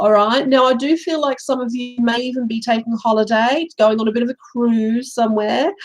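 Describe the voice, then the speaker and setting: Talking at a fairly quick pace, a woman uses a plain, everyday voice that is fairly high in pitch, with ordinary pitch variation. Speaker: tarot reader. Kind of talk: live tarot reading. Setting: live stream.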